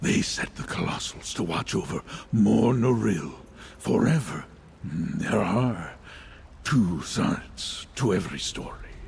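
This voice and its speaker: A man puts on a character voice at a fairly slow pace, with clear background noise behind him. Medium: video game. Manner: solemn, measured.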